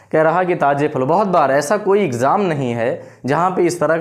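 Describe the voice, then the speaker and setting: Echo from the room is audible. A man talks fairly slowly over it. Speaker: maths teacher. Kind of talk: tutorial. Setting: hot room.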